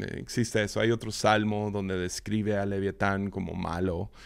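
On a very clean recording with a silent background, a man with a fairly low pitch speaks at a fairly slow pace in a monotone, flat way. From Mexico, Mazatlán, Sinaloa. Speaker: podcast host, Bible teacher. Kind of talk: devotional Bible teaching monologue. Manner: halting, many repetitions and fillers.

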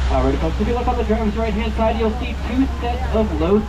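The pace is fairly quick. Noticeable background noise runs throughout. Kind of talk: tour announcement patter. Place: bus.

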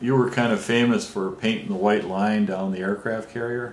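With a normal speaking voice, a man talks at a moderate pace, his fairly low pitch held in fairly even intonation. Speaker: amateur video maker, interviewer. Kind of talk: interview question.

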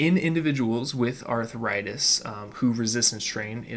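A man is heard over light background noise. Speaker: fitness podcast host. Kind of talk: educational podcast monologue. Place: home room. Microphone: studio mic.

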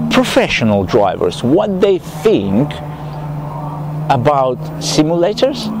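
Dry sound with no echo from a man, noticeable background noise behind him. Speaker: amateur sim racer vlogger. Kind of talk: casual vlog chat. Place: open country. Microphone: phone near.

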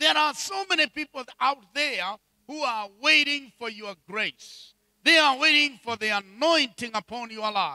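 A man's extremely high-pitched, raised and projected voice, bright and sharp in tone, at a fairly slow pace, with dry sound, no echo and a quiet background. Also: lively intonation. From Kenya. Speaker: bishop and preacher; bishop, preacher. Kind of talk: sermon. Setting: church with congregation. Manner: animated. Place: church. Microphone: handheld.

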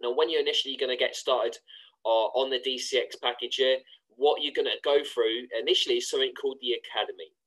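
Talking rather briskly, a man speaks with a British accent. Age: 20s. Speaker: online trading course promoter. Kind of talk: screen-share tutorial.

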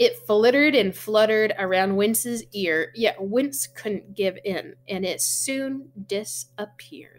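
A woman speaks slowly at a medium pitch with few pauses. Her pitch varies by an ordinary amount.

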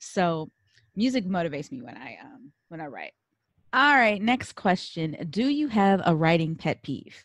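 Against a quiet background, a woman with a fairly low pitch speaks at a fairly slow pace, with very wide pitch swings and big swings in loudness. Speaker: podcast host. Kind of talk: casual chat.

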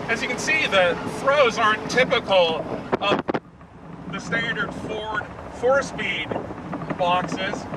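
Loud background noise runs under a man's voice, which has ordinary pitch variation and a dry sound with no echo. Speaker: car reviewer. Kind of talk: road test commentary. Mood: relaxed, humorous. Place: car.

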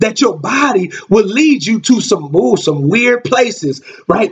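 A man speaks with a high pitch. His pace is fairly slow. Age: 30s. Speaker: minister. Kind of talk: sermon. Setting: live stream. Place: home room. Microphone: webcam.

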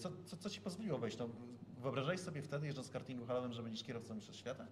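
Noticeable background noise fills the recording. A man's voice comes through over it. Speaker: motorsport journalist. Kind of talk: interview. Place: meeting room.

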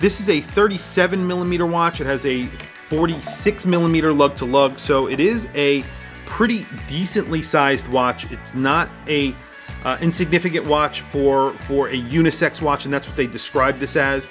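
Clear music plays in the background as a man talks at a moderate pace with ordinary pitch variation. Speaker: watch reviewer. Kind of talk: product review commentary. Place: home room.

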